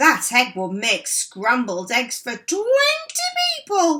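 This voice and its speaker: A woman puts on a character voice with a high pitch and very wide pitch swings. She goes at a fairly slow pace. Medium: read story. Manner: flustered, stammering.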